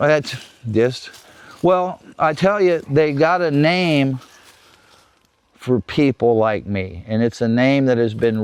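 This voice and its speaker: Lively intonation marks this man's speech in a Florida accent. His pace is fairly slow. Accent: Southern US, rural Florida. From South Florida, Everglades. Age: 60s. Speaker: wildlife researcher and Everglades local. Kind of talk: casual interview. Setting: outdoors.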